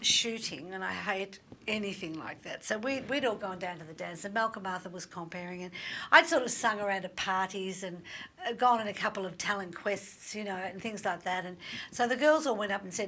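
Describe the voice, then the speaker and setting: A woman with an Australian accent, medium in pitch and bright, sharp in tone, at a fairly quick pace with ordinary pitch variation and big swings in loudness. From Australia, Melbourne. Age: 60s. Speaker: singer-songwriter. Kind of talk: interview chat.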